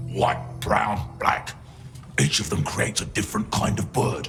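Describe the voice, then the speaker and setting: A man growls in a put-on character voice, very deep and low in pitch, with very wide pitch swings at a moderate pace over clear background music. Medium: machinima. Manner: curt, scornful.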